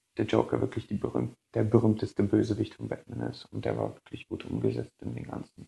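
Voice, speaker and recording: Loudness swings widely in this man's speech. He keeps a moderate pace. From Berlin, Germany. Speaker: listener contributor. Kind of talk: recorded audio submission.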